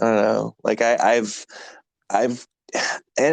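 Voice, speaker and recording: Recorded dry and close with no echo over a quiet background, a man speaks at a medium pitch. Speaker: podcast host. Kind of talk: casual chat.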